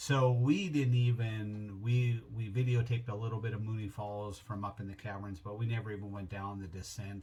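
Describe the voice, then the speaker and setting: An unremarkable speaking voice belongs to this man, who talks at a moderate pace in a fairly low register with fairly even intonation. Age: 60s. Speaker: travel vlogger. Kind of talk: casual trip recap. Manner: relaxed, with many fillers.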